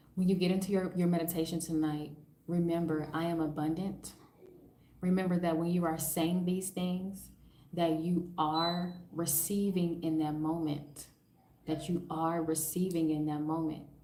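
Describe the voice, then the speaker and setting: A woman speaks with monotone, flat intonation in a space with audible room echo. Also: fairly low pitch for a woman, moderate pace, very even loudness. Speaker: spiritual coach. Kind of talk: live stream, guided meditation. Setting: live stream at home. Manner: calm.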